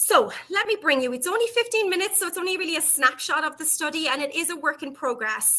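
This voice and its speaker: A woman's raised, projected voice in an Irish accent, fairly quick in pace, with very wide pitch swings. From Ireland. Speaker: psychology professor and researcher. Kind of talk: conference presentation. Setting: online virtual conference.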